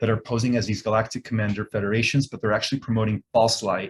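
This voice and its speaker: This man's voice sits at a medium pitch and is somewhat breathy. The recording is very clean, with a silent background. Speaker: author and spiritual speaker. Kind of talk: interview. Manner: fast; authoritative.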